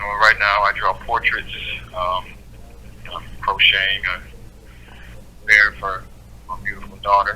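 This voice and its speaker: Noticeable background noise surrounds a man speaking at a fairly slow pace. He leaves long, frequent pauses, with big swings in loudness. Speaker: prisoner. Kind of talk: conversation over phone or video call.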